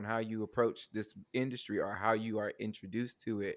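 On a very clean recording with a silent background, a man with medium pitch talks at a moderate pace in an ordinary speaking voice. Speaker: guest, theater artist. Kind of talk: casual chat.

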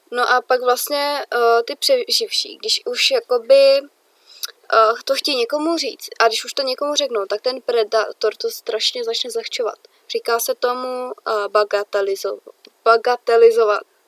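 The recording has a dry, close sound with no echo as a woman speaks at a fairly slow pace. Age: young. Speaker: podcast co-host. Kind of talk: casual chat.

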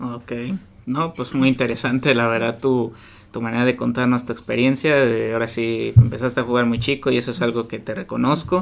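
A man with a Mexican accent speaks at a fairly quick pace, his medium-pitched voice keeping a fairly even intonation. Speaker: podcast host. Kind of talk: interview. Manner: halting.

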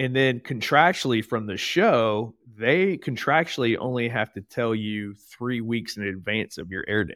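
A man with an American accent talks in a plain, everyday voice at medium pitch and a moderate pace, with hardly any pauses. His intonation is lively, his loudness swings widely, and the recording is very clean with a silent background. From US Midwest, southern Ohio (Portsmouth). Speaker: army veteran, entrepreneur and CrossFit coach. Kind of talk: casual interview chat.

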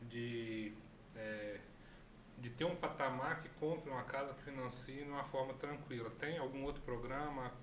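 A man speaks at a moderate pace with fairly even intonation and a medium pitch, over noticeable background noise and audible room echo. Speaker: co-host, health professional. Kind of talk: live-streamed interview show.

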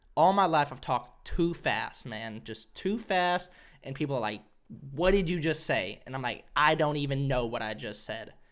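In a normal speaking voice, a man with an American accent talks at a fairly high pitch and moderate pace, with lively intonation. His loudness swings a lot, and the recording is very clean with a silent background. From Arkansas, US South. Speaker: comedian podcaster. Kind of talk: casual solo podcast monologue. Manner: casual, self-deprecating, profane.

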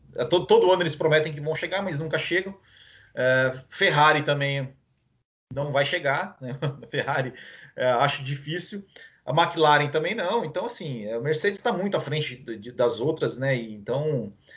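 A man with a Brazilian accent, fairly high in pitch, with lively intonation at a moderate pace. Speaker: podcast host. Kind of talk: casual chat. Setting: live stream.

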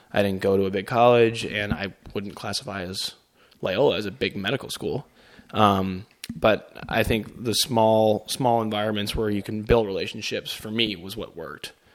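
This is a normal speaking voice from a man with an American accent and a fairly low pitch. He keeps a moderate pace and fairly even intonation, while his loudness swings widely. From Chicago. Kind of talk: casual chat.

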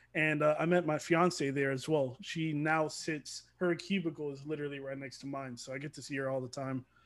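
A man with an American accent and a plain, everyday voice talks fairly quickly with hardly any pauses, his fairly high pitch carrying fairly even intonation and big swings in loudness on a very clean recording with a silent background. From Georgia, US (Atlanta area). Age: 20s. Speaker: competitive gamer. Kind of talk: casual chat.

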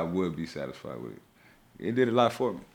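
With vocal fry and lively intonation, a man talks at a fairly quick pace. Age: 30s. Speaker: rapper and actor. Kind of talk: casual chat.

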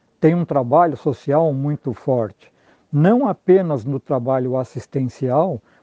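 Very slow male speech, fairly high in pitch, with ordinary pitch variation. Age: 70s. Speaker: HR consultant in credit cooperatives. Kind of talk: interview. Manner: formal.

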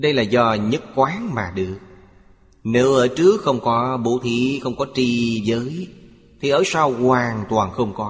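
A man speaks at a very slow pace, his voice somewhat breathy. His pitch sits in the middle range, with ordinary variation. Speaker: narrator of a translated Buddhist lecture. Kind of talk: reading aloud a Buddhist sermon. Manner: formal.

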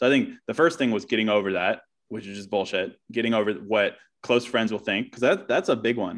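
A man talks at medium pitch and a fairly quick pace, with ordinary pitch variation. His loudness swings widely, and the background is quiet. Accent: American. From US Virginia. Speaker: author and podcaster. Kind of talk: casual interview.

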